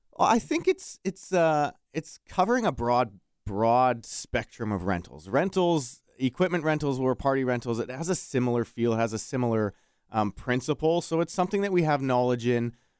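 A man with a Canadian accent talks at a moderate pace and medium pitch, with lively intonation, in an ordinary speaking voice. The sound is dry and close with no echo, on a very clean recording with a silent background. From Alberta, Edmonton area. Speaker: local business owner. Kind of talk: radio interview. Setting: studio.

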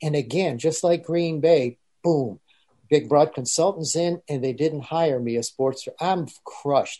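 A man speaks at a fairly high pitch with a dark, mellow tone. His pace is fairly slow, and his pitch varies in an ordinary way.

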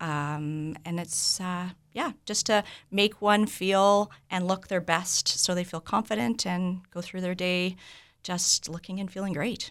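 In a Canadian accent, a woman speaks at a fairly slow pace and medium pitch in an unremarkable speaking voice, with fairly even intonation. The recording is very clean, the background silent. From Vancouver, Canada. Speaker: medical spa owner. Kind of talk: radio interview.

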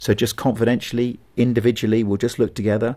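On a very clean recording with a silent background, a man with a southern British accent speaks at a very fast pace in a flat monotone. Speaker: pastor and evangelist. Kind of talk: interview conversation.

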